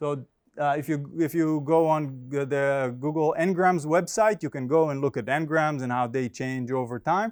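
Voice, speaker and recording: Recorded very cleanly against a silent background, a man with an Israeli accent speaks. His fairly high voice moves at a fairly slow pace. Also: ordinary pitch variation. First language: Hebrew. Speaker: finance professor. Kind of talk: academic conference presentation. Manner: halting, many fillers.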